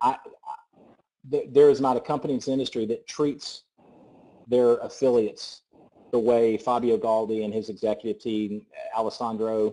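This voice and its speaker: A man with a medium pitch has a dark, mellow tone. He leaves long, frequent pauses. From US South. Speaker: network marketing presenter. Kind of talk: sales pitch. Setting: conference call. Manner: fast; animated.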